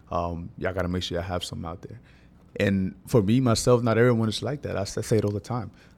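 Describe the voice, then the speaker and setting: A man at a very fast pace and fairly low pitch, with music in the background. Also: ordinary pitch variation. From Honduras, San Pedro Sula. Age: 20s. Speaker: personal trainer. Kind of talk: casual interview.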